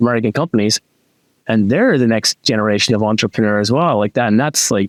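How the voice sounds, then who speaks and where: On a very clean recording with a silent background and a dry, close sound with no echo, a man speaks very fast at a medium pitch with very even loudness. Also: ordinary pitch variation. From Ireland. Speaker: podcast host. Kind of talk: interview podcast conversation. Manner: animated, many restarts and fillers.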